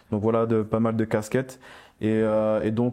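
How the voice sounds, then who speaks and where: A man talks at a moderate pace in a medium pitch with a dark, mellow tone. The background is quiet. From French Antilles (Guadeloupe/Martinique heritage). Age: 20s. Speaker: panafricanist activist. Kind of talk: round-table discussion. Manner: halting, many fillers.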